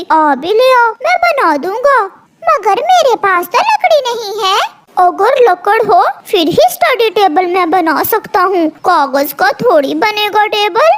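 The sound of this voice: A woman uses a cartoonish character voice pitched extremely high. She speaks at a fairly slow pace.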